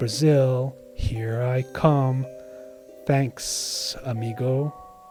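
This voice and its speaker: Put-on character voice from a man at a medium pitch and a very slow pace, with hissing and clear music in the background. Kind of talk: casual, friendly.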